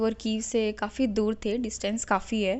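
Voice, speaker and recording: A woman speaks with an unremarkable speaking voice. Her pitch is fairly high. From Haryana, India. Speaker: MBBS student returned from Ukraine. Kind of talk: interview answer.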